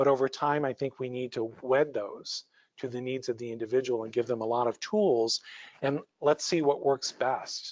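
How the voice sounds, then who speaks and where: A man's voice, a normal speaking voice, moves at a moderate pace, sitting at a medium pitch and keeping a fairly even intonation. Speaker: psychologist presenter. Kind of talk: lecture.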